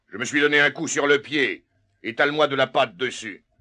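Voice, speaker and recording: A man puts on a raspy character voice, pitched fairly high and delivered at a moderate pace. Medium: audio drama. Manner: hesitant, stammering.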